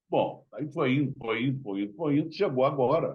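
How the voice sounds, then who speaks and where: A man with a medium pitch and a somewhat breathy voice speaks at a moderate pace. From Rio de Janeiro, Brazil (Tijuca). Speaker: journalist. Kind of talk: interview.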